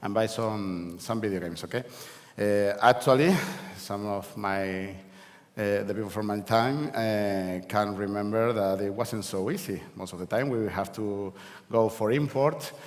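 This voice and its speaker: Spoken at a fairly slow pace with a Spanish accent, the voice shows ordinary pitch variation amid audible room echo. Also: man, fairly low pitch for a man. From Canary Islands, Spain (La Laguna, Tenerife). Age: 40s. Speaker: event speaker, games industry figure. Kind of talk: conference talk. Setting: stage with audience. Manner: halting, many fillers and repeats.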